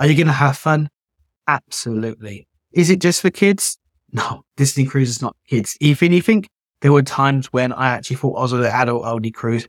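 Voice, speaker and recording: A man with a British accent talks at a fairly quick pace and a medium pitch, with ordinary pitch variation. The sound is dry and close, with no echo. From Britain. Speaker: travel agent and podcast host. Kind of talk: solo talk on travel tips.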